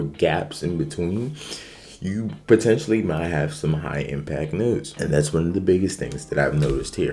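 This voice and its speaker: A man talks with a very deep, low pitch and lively intonation. Room echo is clearly audible. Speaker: day trader. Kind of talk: trading recap tutorial. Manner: casual, filler-heavy.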